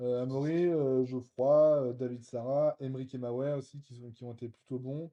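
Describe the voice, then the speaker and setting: Moderate-paced speech from a man, medium in pitch, with monotone, flat intonation. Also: big swings in loudness. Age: 30s. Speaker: real estate investor and short-term rental specialist. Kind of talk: interview conversation. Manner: hesitant, many fillers.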